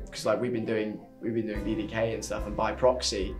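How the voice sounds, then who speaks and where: Clear music sounds behind the voice. The pace is moderate. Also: man. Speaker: actor in a fan film. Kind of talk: interview answer. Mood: reflective, fond. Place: office.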